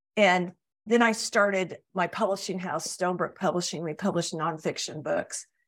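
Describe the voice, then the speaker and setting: A woman with an unremarkable speaking voice speaks at a medium pitch. Her pace is moderate and her intonation fairly even. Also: very clean recording, silent background. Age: 60s. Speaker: publisher and book coach. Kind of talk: interview.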